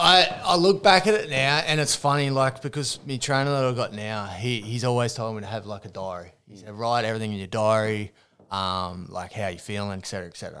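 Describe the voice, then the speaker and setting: With an Australian accent, a man speaks at a fairly quick pace with hardly any pauses, lively intonation and a bright, sharp tone, in a very clean recording with a silent background. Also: medium pitch for a man. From New South Wales, Australia (Hunter region). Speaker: ex-boxer and online personal trainer. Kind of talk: casual chat. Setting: studio.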